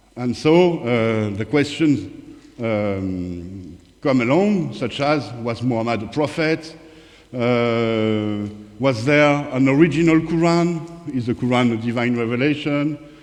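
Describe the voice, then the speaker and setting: A man speaks very slowly at a medium pitch, with lively intonation and a strong French accent. Audible room echo surrounds his voice. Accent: thick French. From France, Paris. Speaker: author and independent researcher, former strategy consultant. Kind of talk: conference presentation. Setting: conference talk with audience. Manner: hesitant, many fillers.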